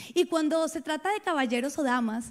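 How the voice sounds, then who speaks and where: On a very clean recording with a silent background, a woman speaks at a fairly quick pace with ordinary pitch variation and a dark, mellow tone. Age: 30s. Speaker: pastor. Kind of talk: sermon.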